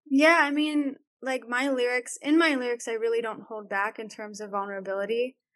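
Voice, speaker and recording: A woman talks at a fairly slow pace with a quiet background behind her. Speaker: singer. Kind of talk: casual chat. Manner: soft-spoken; not loud.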